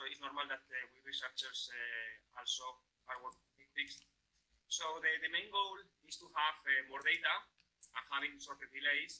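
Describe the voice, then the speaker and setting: With long, frequent pauses, a man with a Spanish accent speaks at a moderate pace. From Spain. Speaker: professor. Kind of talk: lecture. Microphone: video call.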